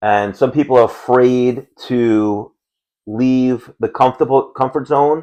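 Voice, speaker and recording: Here is a man with a New York accent and a dark, mellow tone at medium pitch. He speaks very slowly with fairly even intonation. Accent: Queens New York. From New York City (Howard Beach, Queens). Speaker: podcast co-host. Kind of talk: casual chat.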